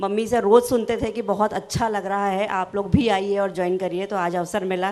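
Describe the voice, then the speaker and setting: A woman speaks at a medium pitch and moderate pace. Her intonation is monotone and flat. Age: 40s. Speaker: university professor. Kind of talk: self-introduction.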